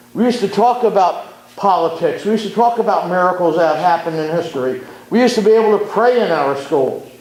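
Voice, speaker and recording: A man's high voice at a very fast pace with lively intonation, audible room echo and noticeable background noise. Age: 60s. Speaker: community activist. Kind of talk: public talk. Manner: impassioned.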